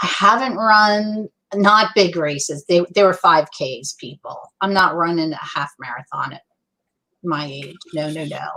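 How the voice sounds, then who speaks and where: A woman talks at a fairly slow pace in a fairly low pitch, her tone bright, sharp and animated. Her intonation is lively. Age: 60s. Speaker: youtuber. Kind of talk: casual chat.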